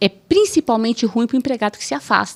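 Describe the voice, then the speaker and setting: This woman talks at a fairly quick pace in a fairly high pitch with vocal fry. The sound is dry and close, with no echo. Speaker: judge. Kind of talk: podcast interview. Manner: assertive.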